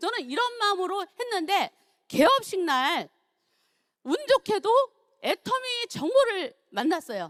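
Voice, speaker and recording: A woman speaks at a very slow pace in an extremely high pitch, with very wide pitch swings and long, frequent pauses. The sound is dry and close, with no echo. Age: 60s. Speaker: network marketing distributor. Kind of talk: testimony.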